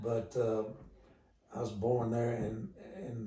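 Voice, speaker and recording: A man speaks in a dark, mellow tone that is somewhat breathy. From Oklahoma. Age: 80s+. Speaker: country music veteran. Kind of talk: interview. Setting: at his home.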